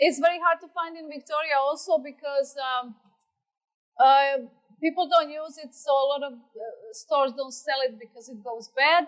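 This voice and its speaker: At a moderate pace, a woman with a high-pitched voice speaks with long, frequent pauses and big swings in loudness. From Croatia, Adriatic coast city. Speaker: home cook. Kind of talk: cooking demonstration.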